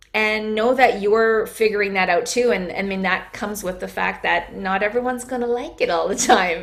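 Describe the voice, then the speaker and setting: Audible room echo surrounds a woman's voice. She speaks at a fairly high pitch and a moderate pace. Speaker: wellness coach. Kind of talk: interview.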